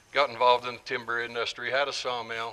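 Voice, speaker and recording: Noticeable background noise runs through the clip. A man speaks with a medium pitch. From rural southern Utah, Wayne County. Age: 60s. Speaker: public meeting speaker. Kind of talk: public meeting talk.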